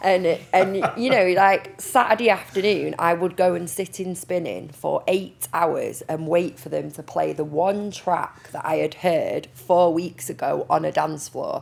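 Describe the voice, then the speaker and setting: With a Manchester accent, a woman talks at a fairly slow pace and hardly pauses at all. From Manchester, northern England. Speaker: project manager and music teacher. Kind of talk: panel discussion.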